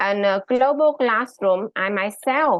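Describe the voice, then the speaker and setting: Speaking at a very slow pace, a woman with a Vietnamese accent uses lively intonation at a fairly high pitch. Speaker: high school English teacher. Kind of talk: conference presentation. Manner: halting, many fillers.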